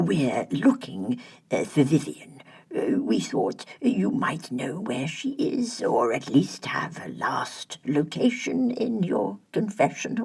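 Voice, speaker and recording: The voice is an affected character performance. Its pitch is mid-range, and it moves very slowly. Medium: read story. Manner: mild, soothing.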